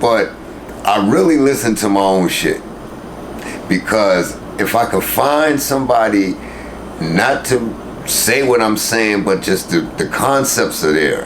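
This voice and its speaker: A man with an American accent talks fairly slowly at a medium pitch, with lively intonation, very even loudness and long, frequent pauses. Noticeable background noise and audible room echo fill the recording. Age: old. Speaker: rapper. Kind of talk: interview. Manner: mumbling; animated.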